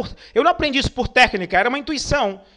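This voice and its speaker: Raised and projected, a man's bright, sharp voice moves with lively intonation. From Brazil, Pernambuco (Northeast), raised in Rio de Janeiro. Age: 40s. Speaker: motivational speaker. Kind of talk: online lecture. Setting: online webinar.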